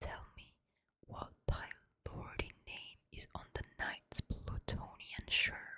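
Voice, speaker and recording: A woman whispers at a very slow pace in a calm, soothing tone. Her loudness swings widely. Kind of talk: ASMR poetry reading. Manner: whispered, calm, soothing.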